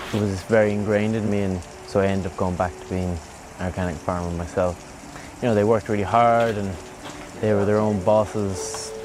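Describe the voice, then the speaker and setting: A man with a western Irish accent, fairly low-pitched, at a fairly quick pace with long, frequent pauses and fairly even intonation, amid noticeable background noise and audible room echo. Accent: Irish (west of Ireland). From County Mayo, Ireland. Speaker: surfer and organic farmer. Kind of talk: documentary interview.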